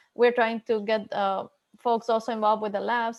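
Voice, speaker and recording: A woman with a Spanish accent, fairly high-pitched, monotone and flat, at a very fast pace. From Ecuador. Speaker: HPC researcher at a national lab. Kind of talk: panel discussion.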